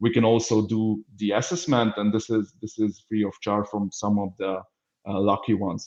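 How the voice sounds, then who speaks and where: With a Hungarian accent, a man speaks at a fairly low pitch with fairly even intonation. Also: moderate pace. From Hungary. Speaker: business development manager. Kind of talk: webinar introduction. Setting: online webinar. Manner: halting, many fillers.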